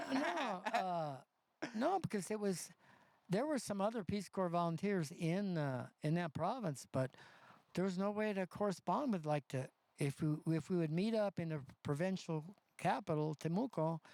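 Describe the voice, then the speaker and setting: With an American accent, a man speaks in a high voice at a moderate pace, his intonation lively and his loudness very even, on a very clean recording with a silent background. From US West Coast, North County San Diego. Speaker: community elder, former Peace Corps volunteer. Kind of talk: casual chat. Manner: halting.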